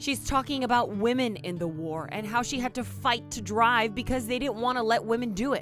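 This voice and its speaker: Over music in the background, a woman with a fairly high pitch talks at a fairly quick pace with lively intonation and hardly any pauses. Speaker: TV news reporter. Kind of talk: TV news report.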